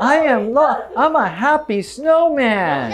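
Cheerful and high-pitched, a put-on character voice speaks at a fairly slow pace over light background noise. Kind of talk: educational video, quoting a movie line. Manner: cheerful, happy.

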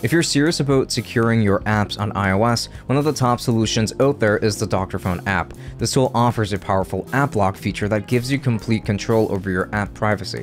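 Over faint music in the background, a man speaks at a fairly quick pace with hardly any pauses, his fairly low pitch showing ordinary pitch variation at very even loudness. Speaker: tech youtuber. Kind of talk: tutorial. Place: home room. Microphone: studio mic.

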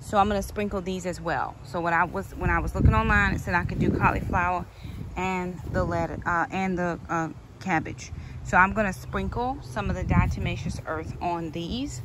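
Over loud background noise, a woman speaks at a moderate pace, the sound dry with no echo. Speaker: home gardener vlogger. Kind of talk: casual vlog chat. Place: garden. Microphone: phone near.

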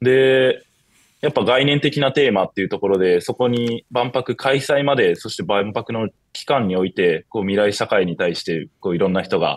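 The sound is dry with no echo as a man talks at a moderate pace with ordinary pitch variation. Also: quiet background. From Shizuoka, Japan; Japan. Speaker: university student; guest. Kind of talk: interview. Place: home room. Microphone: video call.

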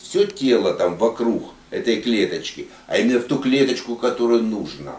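A man speaks at a fairly slow pace, his pitch swinging very widely. Room echo is audible. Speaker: geopolitics academy member; speaker. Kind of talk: casual discussion. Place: meeting room. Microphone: camera far.

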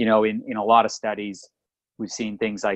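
A man's fairly low voice in a dry, close sound with no echo. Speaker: podcast co-host, chiropractor. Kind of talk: casual chat.

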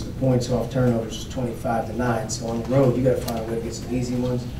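Over noticeable background noise, a man talks very fast in a flat, monotone way. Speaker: basketball coach. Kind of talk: interview answer. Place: hall.

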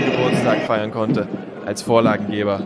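A man talks in an energetic tone over noticeable background noise. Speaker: sports commentator. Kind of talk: match highlights commentary with sponsor slogan. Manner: brisk, energetic play-by-play delivery.

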